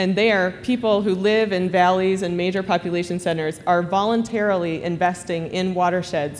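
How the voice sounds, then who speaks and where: A woman talks at a moderate pace with fairly even intonation. There is light background noise. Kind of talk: conference talk. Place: hall. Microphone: podium.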